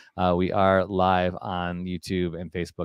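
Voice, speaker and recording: With a Chicago accent, a man speaks at a very deep, low pitch, in a dry, close sound with no echo against a quiet background. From Chicago, US Midwest. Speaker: podcast host. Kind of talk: casual chat.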